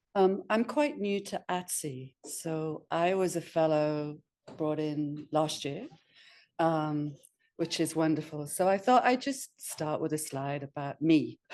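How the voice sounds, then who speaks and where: With a northeast England accent, a woman speaks very slowly at a very deep, low pitch, her pitch varying in an ordinary way over a quiet background. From northeast England, Sunderland. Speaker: astronomer and professor. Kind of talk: webinar talk. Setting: webinar. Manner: informal, hesitant with many fillers.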